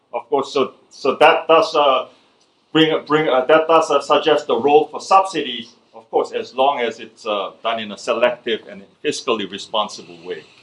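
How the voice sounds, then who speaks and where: Speaking with a Korean accent, a man has a fairly high pitch and lively intonation. His pace is moderate, with big swings in loudness. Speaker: economist. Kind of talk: lecture. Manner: halting, many fillers and restarts.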